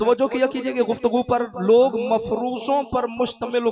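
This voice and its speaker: Noticeable background noise sits under a man speaking at an extremely high pitch. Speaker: Shia religious orator giving a majlis sermon. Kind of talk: majlis sermon to a live congregation. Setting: live majlis hall with congregation and salawat responses. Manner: oratorical, emphatic preaching with repetition and calls to congregation.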